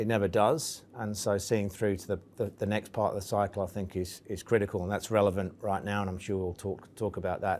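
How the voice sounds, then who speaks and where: A man speaks at a fairly quick pace with a fairly low pitch. His intonation is monotone and flat. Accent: English. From England. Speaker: investment firm executive. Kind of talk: interview.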